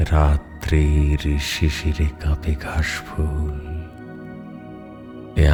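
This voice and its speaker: Music plays in the background. Over it, a man speaks with a very deep, low pitch. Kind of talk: poetry reading. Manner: restrained, moving.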